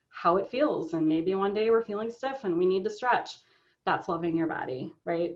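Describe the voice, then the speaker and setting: With lively intonation, a woman talks in a fairly low voice. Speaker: body image coach. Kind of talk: interview. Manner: passionate.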